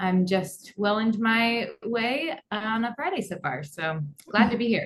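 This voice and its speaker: In an American accent, a woman speaks with lively intonation and a fairly high pitch. Her pace is fairly slow. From US Midwest, Kansas. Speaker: head of social media at an agency. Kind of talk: podcast interview.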